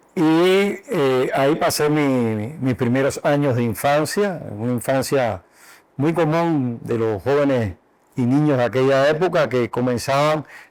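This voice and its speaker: A man speaks at a very slow pace with a fairly high pitch and ordinary pitch variation. His loudness stays very even in a very clean recording with a silent background. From Cuba, Madruga near Havana. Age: 60s. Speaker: doctor and university health sciences director. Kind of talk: interview.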